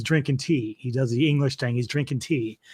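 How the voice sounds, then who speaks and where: In a plain, everyday voice, a man speaks at a fairly quick pace with a medium pitch and ordinary pitch variation in a very clean recording with a silent background. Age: 50s. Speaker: metal music expert, DJ. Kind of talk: casual chat. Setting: live stream.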